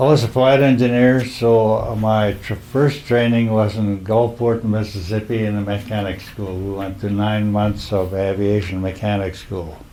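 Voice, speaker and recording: Amid noticeable background noise and audible room echo, a man with an American accent and a fairly low pitch speaks at a moderate pace with hardly any pauses. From Minnesota, US Upper Midwest. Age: 80s+. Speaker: war veteran. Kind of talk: oral history interview.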